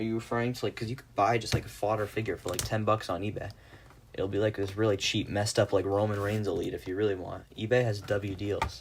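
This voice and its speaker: A man's fairly low, somewhat breathy voice, flat and monotone, at a very fast pace. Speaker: live streamer, action figure customizer. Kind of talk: casual livestream chat. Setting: live stream.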